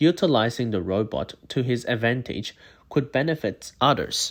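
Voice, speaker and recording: The speaker is a man. His pace is fairly slow. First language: not English. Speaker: university student. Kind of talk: scripted narration. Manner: formal.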